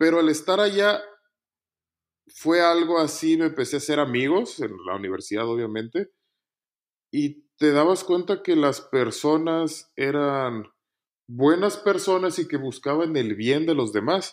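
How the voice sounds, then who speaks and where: With an unremarkable speaking voice, a man speaks at a fairly high pitch and a fairly slow pace with lively intonation, on a very clean recording with a silent background. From Mexico, Nuevo León (Montemorelos). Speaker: engineer. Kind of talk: casual interview, personal testimony.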